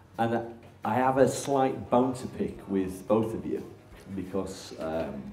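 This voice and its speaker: A man at a fairly slow pace with lively intonation, audible room echo and music in the background. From northern England, Barnsley (South Yorkshire). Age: 40s. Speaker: interview host. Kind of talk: casual interview chat.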